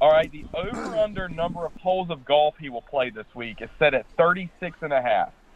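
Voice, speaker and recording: A fairly high-pitched man with lively intonation, big swings in loudness and hardly any pauses, over noticeable background noise. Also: moderate pace. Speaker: radio co-host. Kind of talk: casual sports radio banter. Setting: phone call from home.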